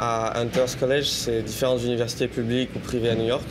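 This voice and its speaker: A man with a strong French accent speaks in a monotone, flat way at a moderate pace and medium pitch. The recording has audible room echo and noticeable background noise. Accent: strong French accent (when speaking English). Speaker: political activist and prospective student. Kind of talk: interview.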